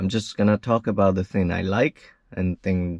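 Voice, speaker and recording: In a non-native accent, a man speaks at a fairly slow pace with a very deep, low pitch and fairly even intonation, in a dry, close sound with no echo and a quiet background. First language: not English. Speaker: car reviewer / truck owner. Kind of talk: product review. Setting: in a truck.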